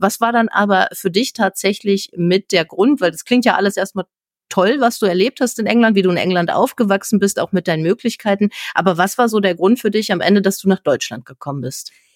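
A woman with a normal speaking voice and a medium pitch talks at a fairly quick pace in a dry, close sound with no echo. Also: ordinary pitch variation. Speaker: podcast host. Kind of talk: interview.

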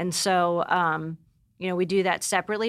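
In a very clean recording with a silent background, an unremarkable speaking voice goes along fairly quickly. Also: woman. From Pennsylvania. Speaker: stay-at-home mother. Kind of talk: casual interview chat.

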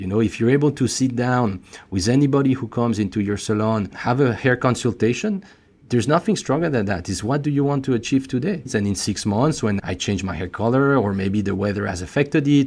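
In a French accent, a man speaks at a medium pitch and a fairly quick pace with ordinary pitch variation. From France. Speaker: beauty company executive. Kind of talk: interview, business talk. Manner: slightly halting, repeats words.

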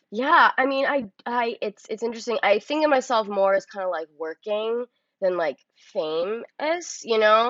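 A woman speaks in a plain, everyday voice. Her pitch is fairly high and her pace is fairly slow. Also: lively intonation. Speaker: actress. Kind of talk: casual interview chat. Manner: casual, filler-heavy, uses 'like' often.

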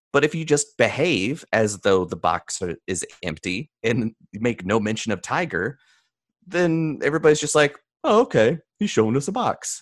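This man talks at a moderate pace in an American accent, his fairly high pitch swinging very widely with vocal fry. The background is quiet and the sound is dry and close, with no echo. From US South, mountains of North Carolina. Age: 30s. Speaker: mentalist and speaker. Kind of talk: interview conversation.

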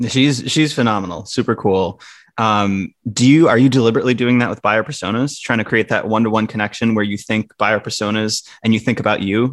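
A man with an American accent and an unremarkable speaking voice talks at a medium pitch with ordinary pitch variation and hardly any pauses. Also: fairly quick pace. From Wisconsin. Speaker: podcast host. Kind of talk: podcast interview.

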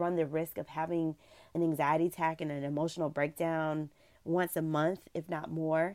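Very clean recording with a silent background, a woman with a normal speaking voice at a fairly low pitch, moderate pace. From US South. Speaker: travel blogger. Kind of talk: interview.

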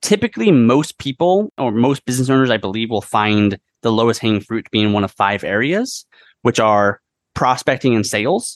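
Heard dry and close with no echo over a quiet background, a man at medium pitch shows ordinary pitch variation and big swings in loudness. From US Pacific Northwest, Whidbey Island near Seattle. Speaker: AI strategy consultant. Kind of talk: interview conversation.

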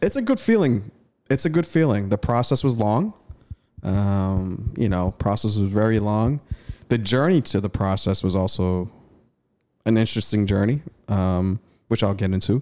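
A man's fairly low, dark and mellow voice at a moderate pace, with long, frequent pauses, very even loudness and ordinary pitch variation. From East Africa, raised in Boston. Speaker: comedian and podcast host. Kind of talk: casual chat. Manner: animated.

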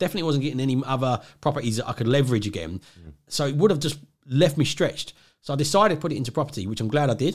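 Talking very fast, a man uses lively intonation and a fairly high pitch, slightly breathy. The recording is very clean with a silent background. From southeast England (Essex, grew up near London). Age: 40s. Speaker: property investor. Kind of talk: casual interview.

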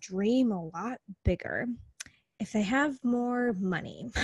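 A somewhat breathy speaker with an American accent uses ordinary pitch variation, recorded with a dry, close sound and no echo. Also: woman. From US Midwest, small-town Wisconsin. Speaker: business coach. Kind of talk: casual interview.

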